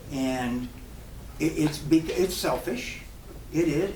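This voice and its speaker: Amid noticeable background noise and audible room echo, a man with an American accent speaks at a fairly high pitch with ordinary pitch variation. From military family, US with high school in Germany. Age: 70s. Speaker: professional drummer. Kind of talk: casual Q&A at a clinic. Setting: drum shop with live audience. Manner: halting, with many repeated words.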